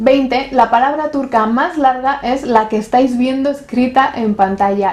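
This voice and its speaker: A woman's high voice keeps a moderate pace, showing ordinary pitch variation. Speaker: YouTuber. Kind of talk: scripted narration.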